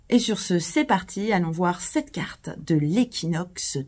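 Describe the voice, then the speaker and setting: Somewhat breathy, a woman of medium pitch talks at a very slow pace with lively intonation. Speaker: astrologer. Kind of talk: video presentation. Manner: hesitant with fillers.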